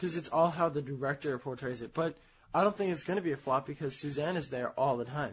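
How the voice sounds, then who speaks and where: Somewhat breathy and very fast, a man with an American accent speaks at a fairly high pitch with ordinary pitch variation. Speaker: podcast co-host. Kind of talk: casual chat.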